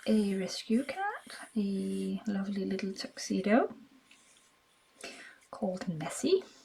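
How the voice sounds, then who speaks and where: Very slowly and with long, frequent pauses, a woman speaks over noticeable background noise. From Denmark. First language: Danish. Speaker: craft video maker. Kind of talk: casual crafting tutorial chat. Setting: at home. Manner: casual, occasionally halting.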